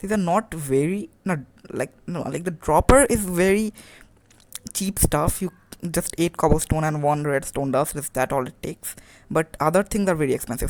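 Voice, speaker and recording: Speaking at a moderate pace, a woman uses a fairly low pitch with ordinary pitch variation in an unremarkable speaking voice. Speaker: gaming tutorial creator. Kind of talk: tutorial.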